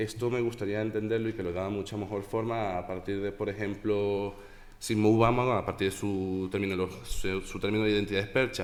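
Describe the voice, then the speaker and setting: A man talks at a very fast pace. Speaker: conference speaker. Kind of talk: academic presentation.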